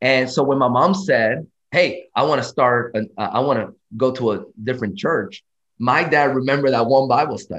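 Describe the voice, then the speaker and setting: Here is a plain, everyday voice from a man at medium pitch. He keeps a moderate pace with ordinary pitch variation. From Dominican Republic, moved to US at 11. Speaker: preacher. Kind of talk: casual interview.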